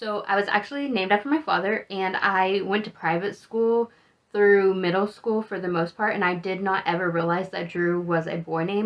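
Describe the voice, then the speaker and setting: A woman talks in a normal speaking voice at a medium pitch. Her intonation is fairly even and her pace moderate. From Texas, Amarillo (Panhandle). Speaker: travel vlogger. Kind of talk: casual monologue.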